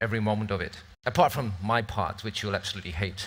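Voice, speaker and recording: On a very clean recording with a silent background, a man speaks with a British accent. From northern England, near Scottish border. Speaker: event moderator. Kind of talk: event hosting speech. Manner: casual, joking.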